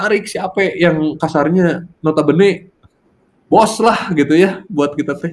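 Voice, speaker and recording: A man talks with a high pitch. His pitch varies in an ordinary way. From Indonesia, Bandung/Cimahi (West Java). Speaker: fashion entrepreneur. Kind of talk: casual interview.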